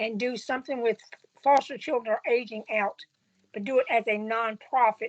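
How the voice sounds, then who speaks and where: In a dry, close sound with no echo, a woman talks at a moderate pace in a high pitch with ordinary pitch variation. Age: 60s. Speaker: student. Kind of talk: Q&A question.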